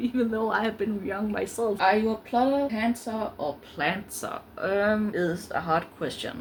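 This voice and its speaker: A woman with a Danish accent speaks at a fairly slow pace with hardly any pauses, in a fairly high pitch with ordinary pitch variation, against noticeable background noise. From Denmark. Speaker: book vlogger. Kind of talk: casual vlog talk. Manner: halting, many fillers.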